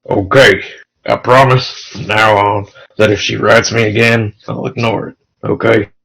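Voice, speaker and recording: Putting on a character voice, a man speaks raspy at a medium pitch with fairly even intonation. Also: moderate pace, big swings in loudness. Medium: read story.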